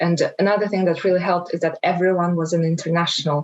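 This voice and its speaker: At a very fast pace, a woman speaks with a fairly low pitch and monotone, flat intonation. There is noticeable background noise. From Kazakhstan. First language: Kazakh and Russian. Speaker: webinar panelist. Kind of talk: panel discussion.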